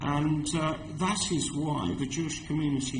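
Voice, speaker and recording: A man speaks with a southern English accent at a fairly high pitch. Audible room echo surrounds his voice. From London, England. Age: 60s. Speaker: community organisation representative. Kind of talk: committee hearing testimony. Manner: halting.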